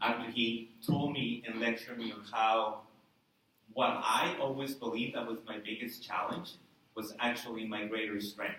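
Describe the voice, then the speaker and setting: With a non-native accent and medium pitch, a man speaks at a moderate pace with long, frequent pauses amid audible room echo. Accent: foreign. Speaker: college instructor. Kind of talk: speech. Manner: hesitant, with fillers.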